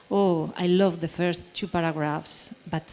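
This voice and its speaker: A woman talks at a fairly slow pace with a Basque accent. Her fairly low voice stays monotone and flat. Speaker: writer and translator. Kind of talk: panel discussion. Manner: halting.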